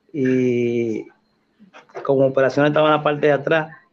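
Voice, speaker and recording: In a monotone, flat intonation, a man speaks at a moderate pace and medium pitch. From Dominican Republic, Cotuí and Santo Domingo. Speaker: Red Cross rescue volunteer. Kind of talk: interview, personal life story.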